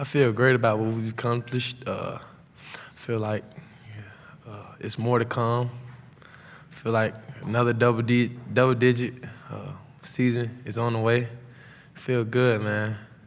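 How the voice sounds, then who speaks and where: Amid audible room echo, a man with an American accent speaks at a fairly slow pace with monotone, flat intonation, big swings in loudness and long, frequent pauses. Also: medium pitch for a man. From Atlanta, Georgia (US South). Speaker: college football player. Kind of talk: press conference Q&A. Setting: media day press room. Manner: casual, halting with fillers.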